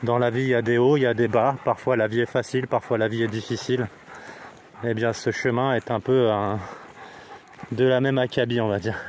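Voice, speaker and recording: Speech comes at a moderate pace with long, frequent pauses, very even loudness, and monotone, flat intonation over noticeable background noise. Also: man, medium pitch for a man. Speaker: hiking vlogger. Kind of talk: casual vlog narration. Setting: outdoors on a hiking trail. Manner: hesitant, many fillers; speaking quietly.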